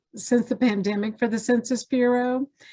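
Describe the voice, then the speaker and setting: A woman speaks in a Southern US accent at a fairly high pitch. The recording is dry and close with no echo. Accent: Southern twang. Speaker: census data specialist. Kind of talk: training presentation.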